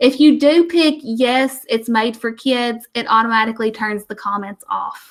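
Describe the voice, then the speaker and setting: A woman speaks in a normal speaking voice at a fairly high pitch. She keeps a moderate pace with ordinary pitch variation. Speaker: teacher trainer. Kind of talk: tutorial.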